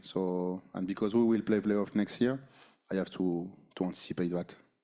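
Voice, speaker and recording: A man with a French accent speaks at a moderate pace in a fairly low, dark, mellow tone on a very clean recording with a silent background. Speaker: basketball head coach. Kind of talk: postgame press conference. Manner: halting, many fillers and repeated words.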